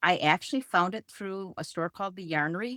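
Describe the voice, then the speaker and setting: A woman with an ordinary speaking voice and fairly low pitch talks at a fairly quick pace, the sound dry and close with no echo, in a very clean recording with a silent background. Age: 60s. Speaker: knitter. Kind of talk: casual chat.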